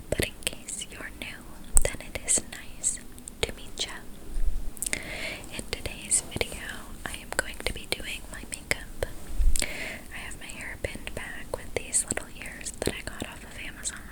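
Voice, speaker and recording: A woman's breathy whisper at a fairly slow pace, big swings in loudness, and noticeable background noise. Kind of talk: ASMR makeup ramble. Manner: whispered, slow, breathy.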